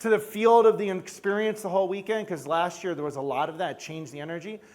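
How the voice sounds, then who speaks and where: In a New York accent, a man talks at a fairly quick pace with a high pitch and ordinary pitch variation. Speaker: chiropractor and event leader. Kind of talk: conference stage talk.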